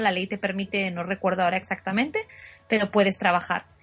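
Fairly quick pace from a woman at a medium pitch, fairly even intonation, music in the background. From Asturias, Spain. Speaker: translator and interpreter. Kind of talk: casual interview.

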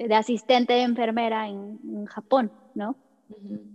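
The sound is dry and close, with no echo. Speech moves at a fairly slow pace. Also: woman. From Mexico. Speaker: English teacher. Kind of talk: personal testimony. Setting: hotel room in quarantine.

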